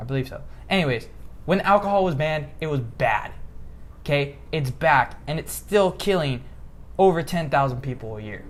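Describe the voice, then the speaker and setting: A man with an American accent speaks in a fairly high, somewhat breathy voice at a moderate pace. His intonation is lively, with big swings in loudness and long, frequent pauses. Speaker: political commentary podcast host. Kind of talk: casual political discussion. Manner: occasional stutter; animated, emphatic.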